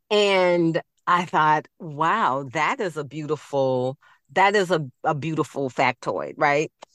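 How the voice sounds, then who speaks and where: In a Southern US accent, a woman with a very deep, low pitch and ordinary pitch variation speaks very slowly in a very clean, silent recording that is dry and close with no echo. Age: 50s. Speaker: children's book author. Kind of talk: interview.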